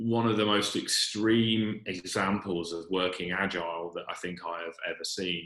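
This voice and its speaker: With a British accent, the voice has a bright, sharp tone and fairly even intonation. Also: man. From UK. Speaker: retail e-commerce executive. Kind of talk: webinar panel talk. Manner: hesitant, many fillers.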